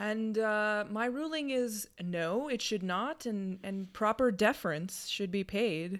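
With an ordinary speaking voice, a woman talks at a fairly slow pace and fairly high pitch, leaving hardly any pauses. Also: very clean recording, silent background. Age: 30s. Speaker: podcast co-host, lawyer. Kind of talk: casual chat.

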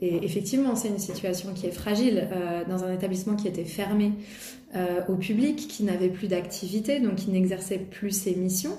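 Through noticeable background noise and audible room echo, a woman speaks at a medium pitch with ordinary pitch variation. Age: 40s. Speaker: art center director. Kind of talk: interview. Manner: hesitant, many fillers.

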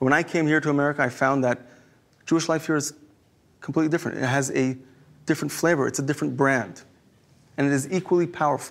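With an Israeli accent, a man speaks very fast at a fairly high pitch, keeping his loudness very even and his intonation fairly even, while taking long, frequent pauses. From Israel, Jerusalem. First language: Hebrew. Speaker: rabbi. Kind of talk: inspirational talk.

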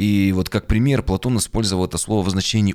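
A man's ordinary speaking voice moves fairly quickly and shows ordinary pitch variation. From Yekaterinburg, Urals, Russia. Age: 30s. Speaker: pastor and podcast author. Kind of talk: monologue, video presentation of own podcast.

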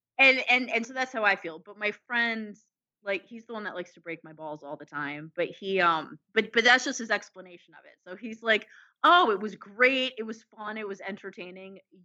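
At a moderate pace, a woman with an ordinary speaking voice talks at a fairly high pitch, her intonation lively and her loudness swinging widely. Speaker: podcast co-host. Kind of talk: casual chat.

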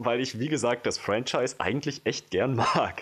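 A man speaks at a fairly slow pace. He has a normal speaking voice at a medium pitch. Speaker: film podcast co-host. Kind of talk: casual chat. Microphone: new microphone, no longer handheld.

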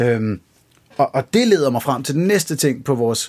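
Lively intonation marks this man's medium-pitched voice, which carries vocal fry. He talks at a moderate pace. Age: 30s. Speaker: podcast host. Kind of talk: casual chat.

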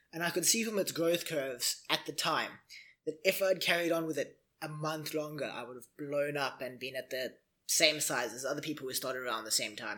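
This man has an unremarkable speaking voice, fairly high in pitch, moving at a fairly quick pace with ordinary pitch variation. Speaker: Twitch streamer. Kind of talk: casual chat.

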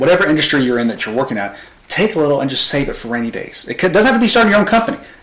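Over noticeable background noise, a man with a Southern US accent talks very fast at a fairly high pitch with very wide pitch swings. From US South, Arkansas (Pine Bluff area). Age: 20s. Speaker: marketing agency founder. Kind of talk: casual interview chat.

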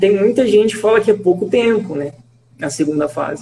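Against noticeable background noise, a man speaks in a high pitch with ordinary pitch variation. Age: 20s. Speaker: medical graduate. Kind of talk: casual interview.

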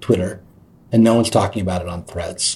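A man with an American accent, his tone dark and mellow, somewhat breathy, at a very fast pace. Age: 50s. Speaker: writer and podcast host. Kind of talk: interview. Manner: halting, many fillers.

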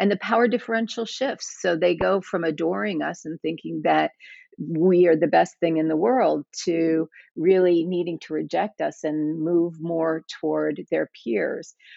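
A woman with an ordinary speaking voice, fairly low in pitch with ordinary pitch variation, at a fairly slow pace. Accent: American. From US South. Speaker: educator and therapist. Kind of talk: interview conversation.

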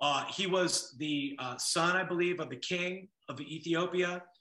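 A man with an American accent, high pitch, ordinary pitch variation, and a moderate pace. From Los Angeles (Westside, Sepulveda area). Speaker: DJ and music producer. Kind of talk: casual interview chat.

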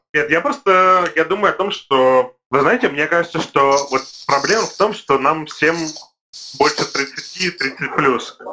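The man's voice has a bright, sharp tone. Its pitch is fairly high, with ordinary variation. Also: fairly slow pace. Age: 30s. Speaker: podcast co-host, event manager. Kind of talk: casual chat.

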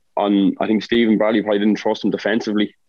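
In an Irish accent, a man speaks at a fairly low pitch with monotone, flat intonation. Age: 30s. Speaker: footballer. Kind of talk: casual chat.

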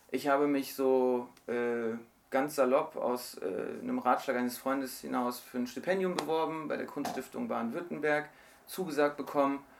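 Noticeable noise sits in the background. The talking goes at a moderate speed, its intonation fairly even. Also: man, fairly high pitch for a man. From Germany. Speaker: novelist. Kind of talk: interview. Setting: radio studio.

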